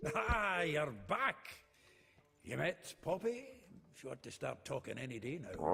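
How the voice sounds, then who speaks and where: Using a put-on character voice at a fairly high pitch, a man speaks at a fairly slow pace with faint music in the background. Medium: game stream. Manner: hearty, joking.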